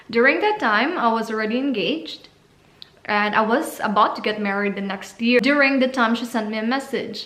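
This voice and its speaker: Over noticeable background noise and audible room echo, a woman talks at a fairly quick pace with a fairly high pitch. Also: ordinary pitch variation. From Philippines, Cebu. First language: Cebuano. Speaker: vlogger, au pair. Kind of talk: casual vlog talk.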